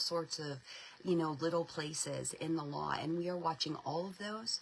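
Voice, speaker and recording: A woman speaks at a fairly low pitch. Noticeable background noise is audible. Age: 40s. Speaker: homeschool advocacy spokesperson. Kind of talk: live stream update and fundraising appeal. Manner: animated, repetitive filler words.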